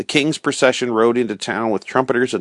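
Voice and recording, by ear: The voice reads aloud in a natural way. Its intonation holds fairly level throughout.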